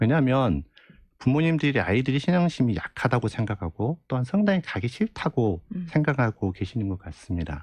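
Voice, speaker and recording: A man speaks at a fairly quick pace in a somewhat breathy, medium-pitched voice with very wide pitch swings over a quiet background. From rural South Korea. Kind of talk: radio interview. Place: studio. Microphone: studio mic.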